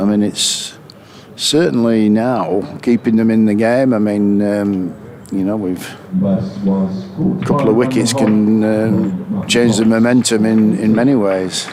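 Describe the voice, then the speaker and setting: Speaking very slowly at a fairly low pitch, a man uses ordinary pitch variation. Room echo and noticeable background noise can be heard. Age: 60s. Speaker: cricket co-commentator. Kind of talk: live commentary. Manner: halting.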